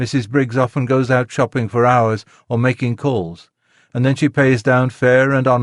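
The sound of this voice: Against a quiet background, the speaker uses an unforced reading voice.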